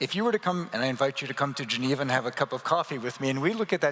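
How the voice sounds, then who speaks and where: Over noticeable background noise, a man with a fairly high pitch talks with lively intonation in a North American accent. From Canada. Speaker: transport association executive. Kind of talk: panel discussion. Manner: animated.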